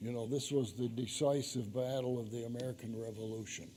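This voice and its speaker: There is audible room echo around a man speaking in a dark, mellow tone. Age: 80s+. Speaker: author giving a church adult-education talk. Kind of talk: lecture.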